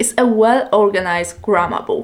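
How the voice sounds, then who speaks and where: A woman speaks with a Polish accent. Her pitch sits in the middle range. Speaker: language learning youtuber. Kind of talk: tutorial.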